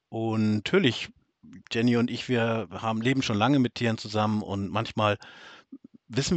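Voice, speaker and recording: A man's voice, with ordinary pitch variation, comes across dry and close with no echo. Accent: northern German. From northern Germany. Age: middle-aged. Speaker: podcast co-host, farmer. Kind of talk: casual chat.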